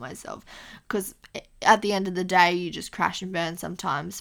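A woman with a bright, sharp tone and vocal fry speaks at a fairly low pitch, with ordinary pitch variation. The recording is very clean, with a silent background. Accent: Australian. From Australia, Queensland (Mackay). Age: 20s. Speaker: podcast host, university student. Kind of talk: casual solo monologue. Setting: home recording on laptop mic, lying on floor. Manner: casual, chatty with filler ums.

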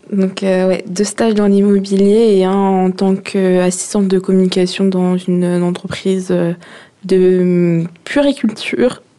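Noticeable background noise runs under this recording. A woman speaks at a fairly slow pace in a flat monotone. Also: medium pitch for a woman, very even loudness. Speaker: young job seeker in work-study. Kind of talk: radio interview.

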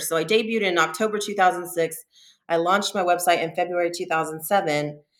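At a fairly quick pace, a woman with an American accent speaks in a bright, sharp tone. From Southern California. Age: 40s. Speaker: adult performer and influencer. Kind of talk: interview. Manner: hesitant, many fillers.

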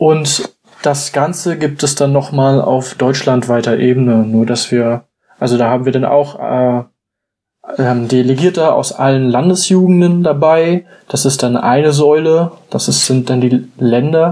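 A man's normal speaking voice, medium in pitch, at a fairly slow pace with ordinary pitch variation and very even loudness. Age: 20s. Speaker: church youth delegate. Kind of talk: casual chat.

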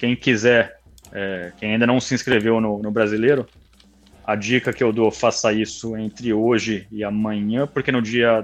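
Speaking at a fairly slow pace, a man with a medium pitch keeps a monotone, flat intonation. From Brazil, São Paulo state interior (Campinas area). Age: 30s. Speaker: kart racing league owner. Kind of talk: casual interview.

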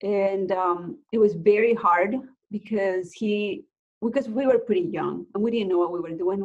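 A woman speaks with a Mexican accent. Her pitch is medium, with ordinary variation. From Mexico (Guerrero coast, then Mexico City). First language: Spanish. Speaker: realtor and nonprofit founder. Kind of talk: interview, personal story.

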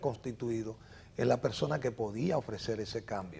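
Using an ordinary speaking voice, a man talks at a fairly quick pace with ordinary pitch variation. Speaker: mayoral candidate, biologist. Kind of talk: interview.

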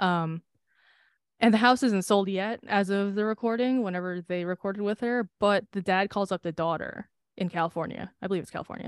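Using fairly even intonation at a fairly quick pace, a woman with an American accent and a medium pitch speaks in a dry, close sound with no echo. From US, Filipino American family. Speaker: podcast co-host. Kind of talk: casual chat. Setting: Zoom call.

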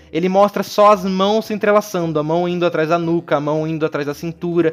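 A man's high voice moves with ordinary pitch variation. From Brazil, interior of Paraná. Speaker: film podcast host. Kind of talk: casual chat. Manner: halting, many repetitions and fillers.

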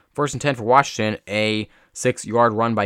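A man speaks at a moderate pace, his pitch fairly low and his intonation fairly even. The recording is very clean with a silent background and a dry, close sound with no echo. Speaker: solo sports podcast host. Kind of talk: solo commentary podcast. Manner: calm.

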